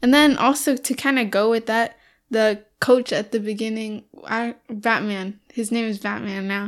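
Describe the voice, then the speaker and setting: A woman speaks at a moderate pace in a plain, everyday voice, her fairly high pitch held to fairly even intonation on a very clean recording with a silent background. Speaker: podcast co-host. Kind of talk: casual chat, movie review podcast.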